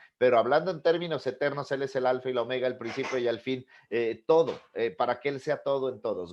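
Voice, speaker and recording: This man talks at a fairly quick pace with hardly any pauses, in an animated tone. His pitch is medium with ordinary variation, and the background is quiet. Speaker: pastor. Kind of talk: sermon-style teaching class.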